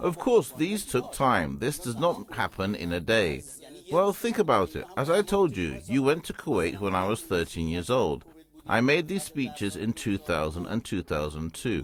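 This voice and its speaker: A man talks at medium pitch and a moderate pace, his pitch swinging very widely. There is noticeable background noise. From Iran. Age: 50s. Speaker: businessman. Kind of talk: TV interview.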